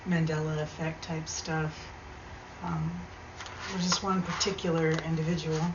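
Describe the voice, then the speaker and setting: Over noticeable background noise and audible room echo, a soft-spoken woman talks at a fairly slow pace in a very deep, low, flat monotone. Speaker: video blogger. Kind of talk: casual monologue storytelling. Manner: hesitant, many fillers.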